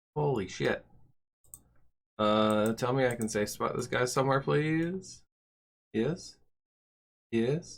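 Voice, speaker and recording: Lively intonation carries speech at a very slow pace, broken by long, frequent pauses. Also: man, medium pitch for a man. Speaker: gaming video host. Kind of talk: gameplay commentary. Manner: casual.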